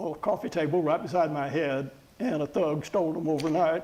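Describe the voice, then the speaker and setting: A man's speech has ordinary pitch variation and a moderate pace, with noticeable background noise behind it. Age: 70s. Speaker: retired professor and marathon runner. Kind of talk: interview.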